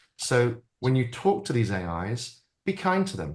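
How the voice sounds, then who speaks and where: Somewhat breathy, a man with a British accent speaks at a medium pitch with very wide pitch swings over a quiet background. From Britain. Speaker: AI futurist and keynote speaker. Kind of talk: interview conversation.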